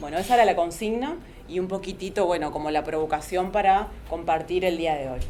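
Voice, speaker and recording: Fairly quick speech from a woman, fairly low in pitch with ordinary pitch variation, amid noticeable background noise and audible room echo. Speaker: psychologist and antiracist activist. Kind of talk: panel talk. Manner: fast.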